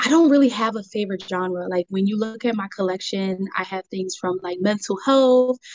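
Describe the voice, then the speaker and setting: A woman of medium pitch talks at a moderate pace, her pitch varying in an ordinary way. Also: hardly any pauses. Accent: Philadelphia. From Delaware County, Pennsylvania. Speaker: small business owner. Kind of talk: casual interview.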